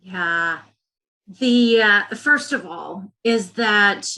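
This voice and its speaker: In a Southern US accent, a woman speaks in a bright, sharp tone at a fairly high pitch. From US South. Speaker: education executive. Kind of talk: interview.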